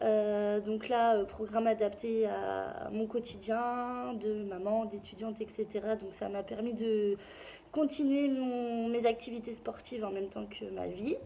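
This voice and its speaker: There is noticeable background noise behind this woman. She talks at a very slow pace with a fairly high pitch and fairly even intonation. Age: 20s. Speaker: client giving a testimonial. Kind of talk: testimony. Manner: hesitant, many fillers.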